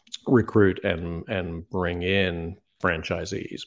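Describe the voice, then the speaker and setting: In a British accent, a man speaks very slowly in a very deep, low voice with monotone, flat intonation. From UK. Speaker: franchise consultant. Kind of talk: interview. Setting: video call.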